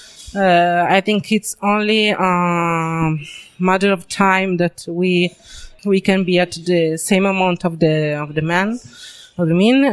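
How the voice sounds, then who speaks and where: Speech in an Italian accent comes at a very slow pace. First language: Italian (speaking French). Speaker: comic book artist. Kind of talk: interview. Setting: comics convention. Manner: halting, many fillers.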